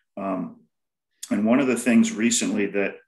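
A man speaks over a quiet background, with audible echo from the room. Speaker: pest management specialist; panelist. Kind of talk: panel discussion on video call. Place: home room. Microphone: webcam.

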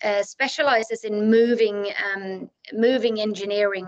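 With a Swedish accent, a woman speaks at a fairly high pitch in monotone, flat intonation. The background is quiet. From Sweden. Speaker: architect. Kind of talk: lecture. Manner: hesitant, many fillers. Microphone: video call.

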